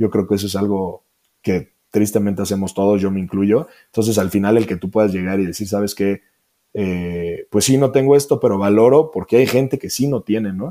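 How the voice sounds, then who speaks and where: A man's fairly low, dark and mellow voice at a moderate pace, with ordinary pitch variation. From Mexico, Celaya, Guanajuato. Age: 20s. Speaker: athlete. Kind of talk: interview conversation. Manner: halting.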